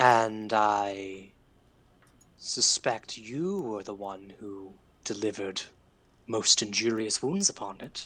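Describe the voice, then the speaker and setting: In a put-on character voice of fairly low pitch, a man talks at a fairly slow pace with long, frequent pauses, recorded very cleanly over a silent background. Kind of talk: archaic formal speech. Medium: actual play. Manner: slow, measured, enigmatic.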